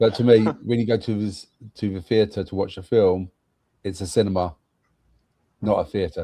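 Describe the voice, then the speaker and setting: With a British accent, this dark, mellow voice keeps a fairly even intonation at a moderate pace, broken by long, frequent pauses against a quiet background. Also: man, fairly low pitch for a man. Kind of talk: casual chat.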